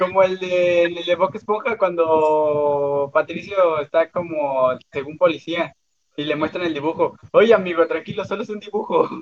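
A man talks at a high pitch with ordinary pitch variation. He keeps a fairly slow pace. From Mexico, Cancún. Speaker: podcast co-host. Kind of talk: casual chat.

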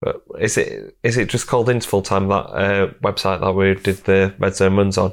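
Speaking in a Yorkshire accent, a man uses a fairly low pitch with monotone, flat intonation and very even loudness, on a very clean recording with a silent background. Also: moderate pace. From Yorkshire, England. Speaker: strength and conditioning coach, podcast host. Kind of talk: casual interview chat; sponsor read.

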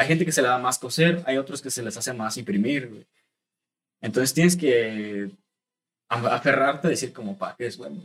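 With ordinary pitch movement and a moderate speed, a man talks at a medium pitch in an unremarkable speaking voice. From Mexico, Estado de México (Chalco). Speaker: clothing brand founder. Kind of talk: casual chat.

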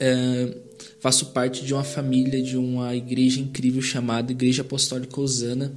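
Over noticeable background noise and audible room echo, a man speaks at a moderate pace with flat, monotone intonation. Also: medium pitch for a man. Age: 20s. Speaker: church youth leader and podcast host. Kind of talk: casual chat. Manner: hesitant.

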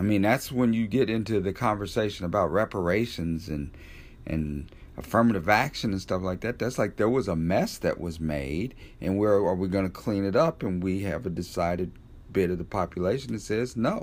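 With a normal speaking voice, a man speaks moderately paced, fairly low in pitch, and with ordinary pitch variation. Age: 50s. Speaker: podcast host. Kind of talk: solo commentary podcast.

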